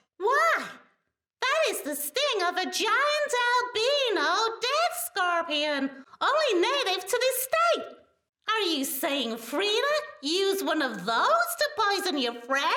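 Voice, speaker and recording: A squeaky, put-on character voice at an extremely high pitch, with very wide pitch swings and a fairly slow pace. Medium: audio drama. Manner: talkative, rambling.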